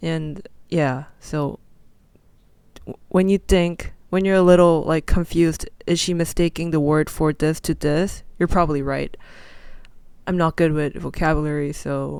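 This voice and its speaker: A woman with a fairly low pitch speaks at a fairly slow pace in a very clean recording with a silent background. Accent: non-native. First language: not English. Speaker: podcast host. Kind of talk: casual solo podcast talk. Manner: halting, self-correcting.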